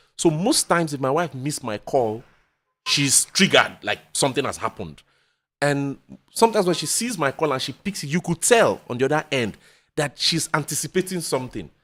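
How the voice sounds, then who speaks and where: A man talks fairly quickly in a fairly high voice with lively intonation. The recording is very clean, with a silent background. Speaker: podcast guest. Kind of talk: casual chat. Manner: fast.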